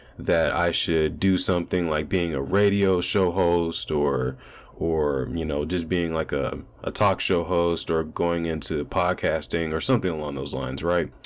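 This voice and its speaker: A man talks at a fairly slow pace in a very deep, low pitch. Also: fairly even intonation. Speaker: commentary YouTuber. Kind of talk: casual monologue, channel introduction.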